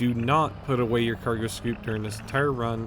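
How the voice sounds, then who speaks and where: A man is speaking. His voice is quiet. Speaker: video game tutorial creator. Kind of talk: tutorial. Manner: speaking up loudly.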